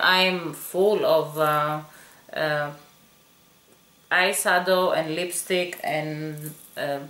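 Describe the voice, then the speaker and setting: A woman is speaking. There is audible echo in the room. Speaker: beauty vlogger. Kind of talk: product review.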